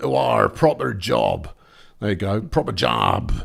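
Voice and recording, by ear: A man puts on a character voice in a West Country accent, raspy and very deep, at a fairly slow pace. His pitch swings very widely.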